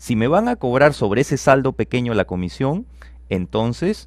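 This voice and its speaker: A man with an unremarkable speaking voice, lively intonation and a moderate pace, in a very clean recording with a silent background. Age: 40s. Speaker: economist, business school dean. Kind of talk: radio interview. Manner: explanatory, rhetorical questions.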